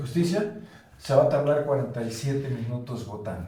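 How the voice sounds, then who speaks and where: A man talks at a fairly quick pace with ordinary pitch variation. Noticeable background noise and audible room echo fill the recording. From Córdoba, Veracruz, Mexico. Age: 60s. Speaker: political commentator. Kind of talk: panel discussion. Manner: emphatic.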